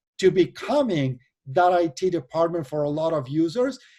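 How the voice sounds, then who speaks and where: A man speaks at a high pitch with a dark, mellow tone. His intonation is lively and his pace moderate. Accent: Argentine. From Argentina. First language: Spanish. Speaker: venture capital investor and board member. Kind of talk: interview.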